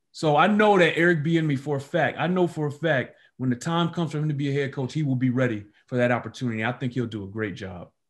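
This voice races along at a very fast pace with lively intonation and a somewhat breathy quality. The background is quiet. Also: man, fairly high pitch for a man. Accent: American. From Detroit, US Midwest. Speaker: sports reporter. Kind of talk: interview.

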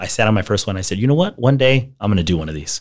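Over a very clean recording with a silent background, a man speaks very fast in a fairly low pitch. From US, El Paso, Texas. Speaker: marketer. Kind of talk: interview conversation.

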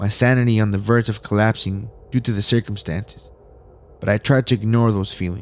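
Someone speaks at a moderate pace in an unremarkable speaking voice. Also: man. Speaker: horror story narrator. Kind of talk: horror story narration, read aloud. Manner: tense, hushed, suspenseful storytelling; casual, upbeat host.

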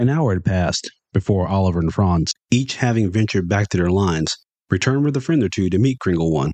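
Over a quiet background, the speaker uses an unforced reading voice with lively intonation.

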